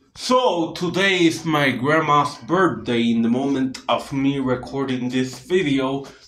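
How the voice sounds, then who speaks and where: The pace is fairly slow as a man talks. His voice carries audible room echo. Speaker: vlogger. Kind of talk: casual vlog chat. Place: home room. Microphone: phone near.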